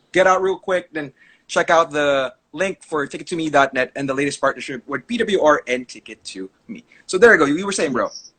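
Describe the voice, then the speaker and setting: A man's fairly high, bright, sharp voice carries lively intonation and big swings in loudness, in a dry, close sound with no echo. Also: fairly quick pace. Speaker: wrestling podcast host. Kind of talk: casual live-stream chat. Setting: live online stream.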